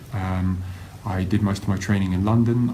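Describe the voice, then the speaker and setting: A man with an English accent, fairly low in pitch with ordinary pitch variation, at a fairly quick pace, amid noticeable background noise and audible room echo. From England, Kent. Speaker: university lecturer. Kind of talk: live-streamed talk. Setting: Facebook live stream. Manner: hesitant, many fillers.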